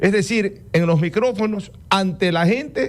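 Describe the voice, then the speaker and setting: Lively intonation from a man at a fairly slow pace. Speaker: radio host. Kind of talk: radio interview.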